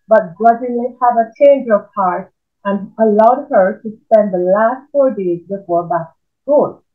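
Quiet background behind an unforced reading voice

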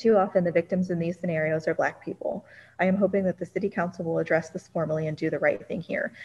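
A woman, somewhat breathy and fairly low-pitched, at a very fast pace with fairly even intonation. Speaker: council staff reading public comments. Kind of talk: roll call and reading public comments aloud. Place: home room. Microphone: video call.

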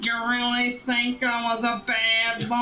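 A female-sounding voice puts on a character in a high pitch, at a fairly slow pace. The intonation stays monotone and flat over clear background noise.

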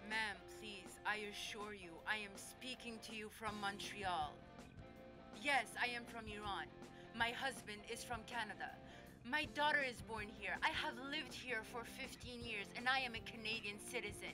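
Over loud music in the background, a woman uses a put-on character voice that is fairly high and strained, speaking at a fairly slow pace. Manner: polite and strained, then exasperated.

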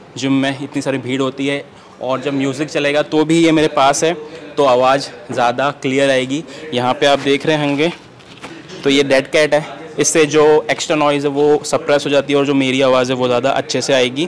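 A man speaks at a moderate pace in a monotone, flat intonation. Light background noise can be heard. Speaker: fitness vlogger. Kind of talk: casual vlog chat, gear demo. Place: gym. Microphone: lapel.

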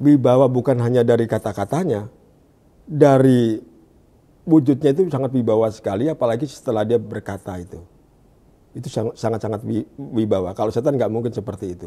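A man with a dark, mellow tone talks at a fairly quick pace, his pitch varying in an ordinary way while his loudness swings widely. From Indonesia, Jakarta (East Jakarta); Jakarta, Indonesia. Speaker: evangelist. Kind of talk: testimony. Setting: studio. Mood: calm, smiling. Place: studio. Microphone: lapel.

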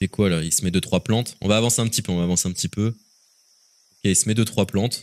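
Man at a fairly low pitch, very fast between long, frequent pauses, with fairly even intonation and a dry, close sound with no echo. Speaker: gaming youtuber / streamer. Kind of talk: video reaction commentary. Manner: casual, conversational.

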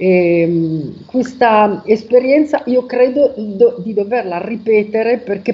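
A woman's fairly high-pitched voice at a very slow pace, with ordinary pitch variation. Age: 50s. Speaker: testimonial giver. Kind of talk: testimony. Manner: halting. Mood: calm, reflective. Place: home room. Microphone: video call.

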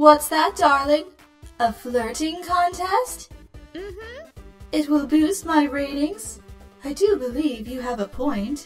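A put-on character voice at a very slow pace, over faint music in the background. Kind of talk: showbiz host theatrics. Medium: fan dub. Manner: flamboyant, flirtatious, smug, theatrical; vain, self-assured.

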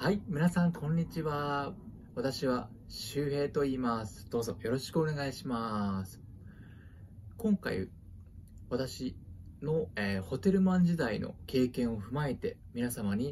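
A somewhat breathy man at a fairly slow pace over light background noise. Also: lively intonation. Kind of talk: friendly self-introduction and language lesson. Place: home room. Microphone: phone near.

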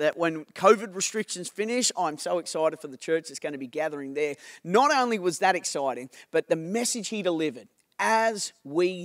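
The speaker is a man at a fairly quick pace. Behind him the background is quiet. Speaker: senior pastor. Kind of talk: sermon. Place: stage. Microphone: handheld.

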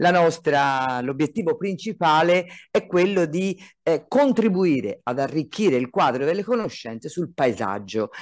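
The speaker moves at a moderate pace with lively intonation against a quiet background. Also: man. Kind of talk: conference presentation. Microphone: video call.

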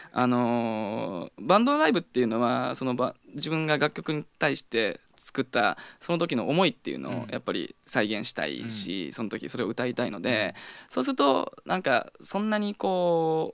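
In a dry recording with no echo and a quiet background, a man of medium pitch talks at a moderate pace with very wide pitch swings. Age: 30s. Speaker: rock band vocalist and guitarist; guest. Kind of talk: radio interview. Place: studio. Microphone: studio mic.

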